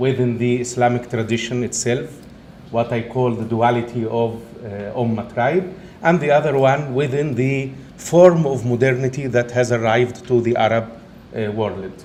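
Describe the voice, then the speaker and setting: A man speaks at a moderate pace with a medium pitch and fairly even intonation, over noticeable background noise and audible room echo. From Egypt. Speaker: professor. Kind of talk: lecture.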